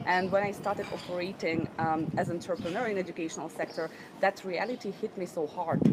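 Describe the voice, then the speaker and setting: A woman talks at a fairly quick pace in a fairly low pitch for a woman, with fairly even intonation. Noticeable background noise runs beneath her voice. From Ukraine, Odessa. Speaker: entrepreneur, business trainer. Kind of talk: interview.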